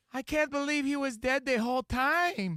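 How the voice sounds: This put-on character voice sits at a high pitch. It moves along at a moderate pace.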